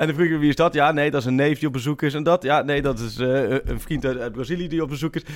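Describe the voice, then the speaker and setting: A man rattles along at a very fast pace with hardly any pauses. His fairly high voice keeps a fairly even intonation. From eastern Netherlands. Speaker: football journalist. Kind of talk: casual chat.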